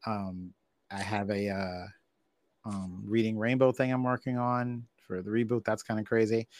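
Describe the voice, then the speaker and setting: With a plain, everyday voice, a man speaks at a moderate pace, fairly low in pitch and fairly even in intonation, on a very clean, silent-background recording with a dry, close sound and no echo. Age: 40s. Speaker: podcast host, wrestling fan guest. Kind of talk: casual chat.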